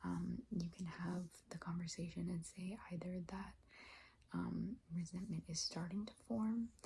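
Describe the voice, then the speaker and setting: The voice is soft-spoken, with a tired tone. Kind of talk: advice script delivered to camera in a calm, reflective talk. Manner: tired, soft, hesitant with frequent filler words.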